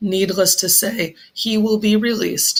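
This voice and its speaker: A woman puts on a raspy character voice at medium pitch. She keeps a monotone, flat delivery at a moderate pace. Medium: read story. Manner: commanding, dryly ironic.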